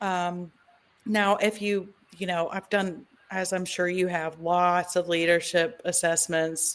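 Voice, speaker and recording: Very slowly, a woman speaks with a Southern US accent in a fairly low pitch. Her intonation is monotone and flat. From US South, Tennessee. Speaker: podcast host. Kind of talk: casual interview chat.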